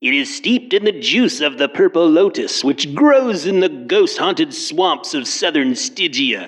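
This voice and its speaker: The speaker uses a put-on character voice at a moderate pace. There are hardly any pauses. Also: man, high pitch for a man. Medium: read story. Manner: cold, superior.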